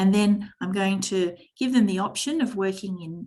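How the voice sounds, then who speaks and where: At a moderate speed, this woman talks in an unremarkable speaking voice with ordinary pitch movement. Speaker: teacher trainer. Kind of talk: online workshop presentation.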